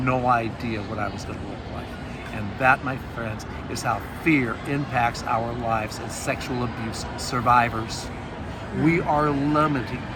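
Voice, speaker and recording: A man with an American accent, medium-pitched and fairly slow, with audible room echo and music in the background. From US Northwest (Montana). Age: 60s. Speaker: author and abuse survivor speaker. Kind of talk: testimony. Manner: conversational, animated.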